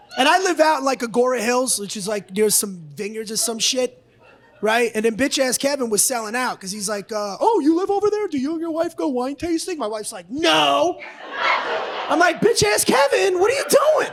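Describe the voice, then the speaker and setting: Over noticeable background noise, a man talks at an extremely high pitch with very wide pitch swings and a moderate pace. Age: 50s. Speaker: comedian. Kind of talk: stand-up. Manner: aggressive-sounding, forceful; halting, self-correcting.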